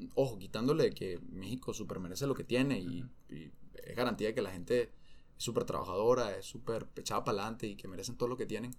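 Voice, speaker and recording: Talking very fast at a medium pitch, a man with a Venezuelan accent shows ordinary pitch variation and big swings in loudness. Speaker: former professional footballer. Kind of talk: interview conversation.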